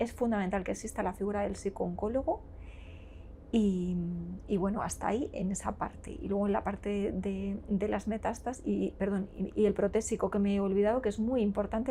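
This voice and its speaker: Her dark, mellow voice carries vocal fry as this woman speaks at medium pitch and a fairly quick pace with fairly even intonation. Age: 40s. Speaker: nurse and cancer patient. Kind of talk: interview answer.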